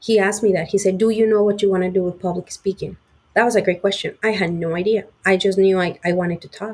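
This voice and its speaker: In a Spanish accent, a woman talks at a very fast pace with medium pitch and a monotone, flat intonation. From Mexico (Puebla). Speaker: sales engineer. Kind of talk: interview.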